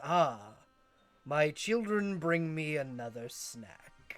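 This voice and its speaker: A man's put-on character voice, fairly high in pitch, at a very slow pace over background music. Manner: smiling, menacing.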